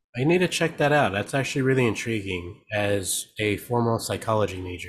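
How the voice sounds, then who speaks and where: Somewhat breathy and fairly low-pitched, a man talks at a fairly quick pace with lively intonation. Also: very clean recording, silent background. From California, Mexican-American family. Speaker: DJ and producer. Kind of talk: casual chat.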